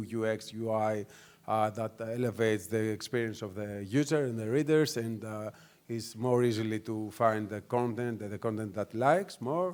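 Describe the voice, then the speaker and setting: Speaking at a moderate pace with a Greek accent, a man keeps his intonation fairly even. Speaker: news media executive. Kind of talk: conference panel talk. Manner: hesitant, many fillers.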